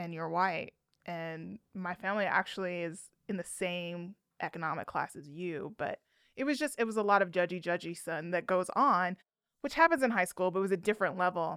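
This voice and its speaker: This unremarkable speaking voice moves at a moderate pace with ordinary pitch variation, captured in a very clean recording against a silent background. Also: woman, medium pitch for a woman. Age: 30s. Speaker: podcast host. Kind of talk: casual interview chat. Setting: studio.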